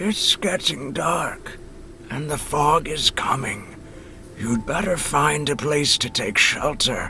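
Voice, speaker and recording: Over clear background noise, a man puts on a character voice with a fairly high pitch and a fairly slow pace. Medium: video game.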